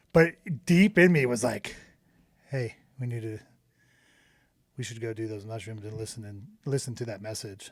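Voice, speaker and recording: Loud and at a moderate pace, a man speaks with medium pitch and ordinary pitch variation, leaving long, frequent pauses. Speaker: podcast co-host. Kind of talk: casual chat. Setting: studio. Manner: animated.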